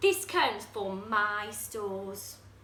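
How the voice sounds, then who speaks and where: Using a put-on character voice at a medium pitch, a woman speaks over clear background noise. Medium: read story.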